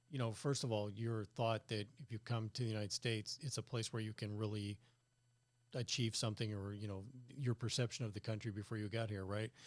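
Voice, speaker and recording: A man with a plain, everyday voice and a General American accent speaks at a fairly quick pace, fairly low in pitch and fairly even in intonation, with a dry, close sound with no echo. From California. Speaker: podcast host. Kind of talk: interview conversation.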